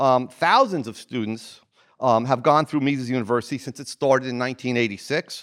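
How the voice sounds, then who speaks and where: A man speaks with an American accent. His pace is fairly quick. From New Jersey. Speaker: economics professor, academic dean. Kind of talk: welcome speech. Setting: stage with audience. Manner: halting.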